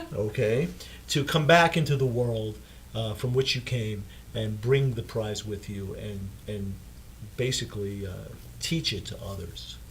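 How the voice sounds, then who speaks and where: Somewhat breathy and fairly low in pitch, a man speaks at a fairly slow pace with ordinary pitch variation, long, frequent pauses and audible room echo. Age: 70s. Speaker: dentist and author. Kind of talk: interview. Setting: studio. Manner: halting, many fillers and repeats.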